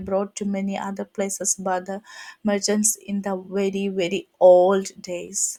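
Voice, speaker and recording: With a Keralan accent, a woman speaks at a medium pitch and a fairly slow pace. Her tone is dark and mellow. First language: Malayalam. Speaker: henna artist. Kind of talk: tutorial. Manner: halting.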